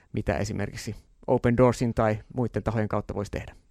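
Speech comes at a moderate pace. Vocal fry runs through the voice. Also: man. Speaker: radio host. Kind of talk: interview.

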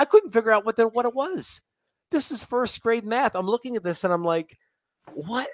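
A man speaks in an animated tone with very wide pitch swings. The sound is dry and close, with no echo. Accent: American. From Florida, Tampa. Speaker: public speaking trainer and communication professor. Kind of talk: casual interview.

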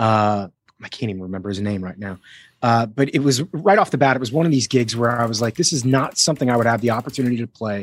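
A man with a slight US East Coast accent and medium pitch talks at a very fast pace. His pitch varies in an ordinary way, and the sound is dry and close with no echo. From US, Miami. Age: 40s. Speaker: actor and voice actor. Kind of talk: casual interview. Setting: home recording studio, video call.

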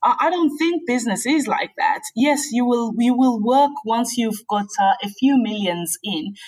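The woman's voice is high-pitched, with lively intonation. She talks at a fairly slow pace, with hardly any pauses. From South Africa. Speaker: accounting expert. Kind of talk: interview.

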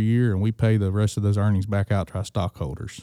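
A man with a Mississippi accent, very fast, dark and mellow in tone, fairly even in intonation, with a dry, close sound free of echo and a very clean recording over a silent background. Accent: US Southern (Mississippi). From Mississippi Delta, Greenville. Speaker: agricultural lender. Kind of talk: casual interview. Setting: at a conference event.

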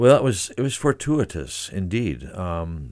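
A man speaks with an American accent at a fairly slow pace. His intonation is lively. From Minnesota, US Midwest (Saint Paul). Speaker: retired orchestra conductor. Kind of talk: radio interview. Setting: radio studio.

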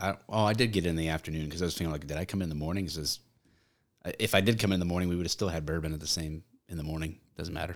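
Talking at a very fast pace with an animated tone, a man with a very deep, low pitch and an American accent comes through on a very clean recording with a silent background. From Michigan. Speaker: former police officer, content creator. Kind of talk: casual chat. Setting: studio. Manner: joking, animated.

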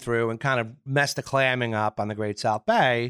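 A man speaks with a strong Long Island accent and a bright, sharp tone. The recording is very clean, with a silent background and a dry, close sound with no echo. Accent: strong Long Island New York. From Long Island, New York. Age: 50s. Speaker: yacht broker. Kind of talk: casual interview chat.

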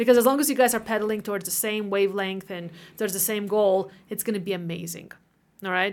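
Speaking at a very fast pace, a woman with a medium pitch keeps fairly even intonation while her loudness swings widely. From Latvia. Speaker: real estate agent, military spouse. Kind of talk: casual interview chat.

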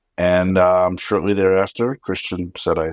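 Very deep and low, a man's voice carries an American accent at a moderate pace. The recording is very clean, with a silent background and a dry, close sound with no echo. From New Jersey. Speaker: architecture firm executive. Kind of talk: interview.

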